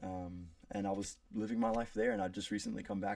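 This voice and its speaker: A man with an American accent talks at a fairly quick pace in a fairly low pitch. His tone is dark and mellow, and his pitch varies an ordinary amount. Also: very clean recording, silent background. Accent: pretty American. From South Africa. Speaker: college student. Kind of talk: class speech.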